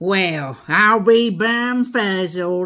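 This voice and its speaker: A put-on character voice pitched in the middle range. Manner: growling, amazed.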